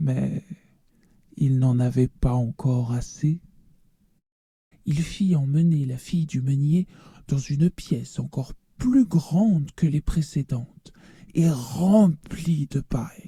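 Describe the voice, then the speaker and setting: The speaker uses a put-on character voice at a low-to-middle pitch. The delivery is fairly slow. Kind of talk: read story. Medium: read story.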